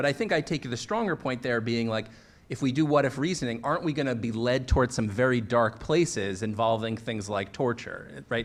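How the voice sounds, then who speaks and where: A man with an ordinary speaking voice delivers his words at a moderate pace, his medium pitch carried by lively intonation. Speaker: law professor and author. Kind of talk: panel discussion.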